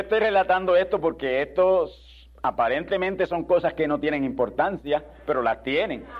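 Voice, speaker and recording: A man talks in a high voice with lively intonation. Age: 70s. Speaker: pastor. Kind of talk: sermon.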